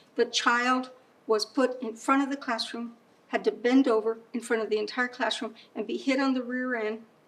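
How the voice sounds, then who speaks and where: A woman's high-pitched voice with an American accent, ordinary pitch variation and a fairly quick pace. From San Antonio, Texas. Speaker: poet and storyteller. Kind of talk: interview answer, personal memories.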